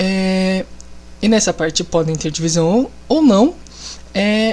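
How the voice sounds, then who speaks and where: Somewhat breathy and at medium pitch, a woman talks at a very slow pace with ordinary pitch variation. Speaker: biology teacher. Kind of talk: lecture. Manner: casual.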